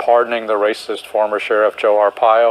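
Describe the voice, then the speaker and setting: A man's flat, monotone delivery with an American accent, over noticeable background noise. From United States. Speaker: historian and political commentator. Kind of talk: TV interview.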